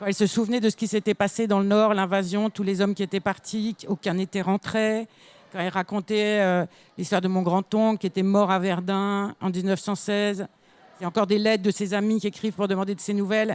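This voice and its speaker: A woman of medium pitch speaks at a fairly quick pace in monotone, flat intonation, on a very clean recording with a silent background and a dry, close sound with no echo. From northern France, near Belgium (Lille area). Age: 60s. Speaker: children's author. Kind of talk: panel discussion answering pupils' questions.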